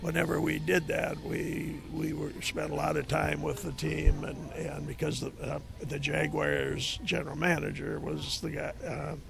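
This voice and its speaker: A man with an Upper Midwest accent talks with hardly any pauses amid noticeable background noise and audible room echo. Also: fairly slow pace. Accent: Upper Midwest American. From Minnesota. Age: 70s. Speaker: retired football coach. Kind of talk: interview. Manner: halting.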